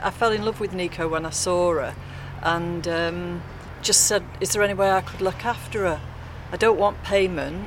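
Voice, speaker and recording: This woman speaks at a moderate pace in a fairly low pitch with fairly even intonation, and there is noticeable background noise. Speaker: dog sitter and carer for her mother. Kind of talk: casual street interview. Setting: outdoors at a tram stop.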